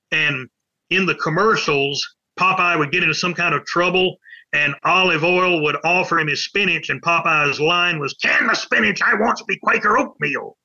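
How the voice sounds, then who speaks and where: A man with a Southern US accent, high in pitch with ordinary pitch variation, at a moderate pace and very even loudness. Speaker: pop culture author. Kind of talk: interview.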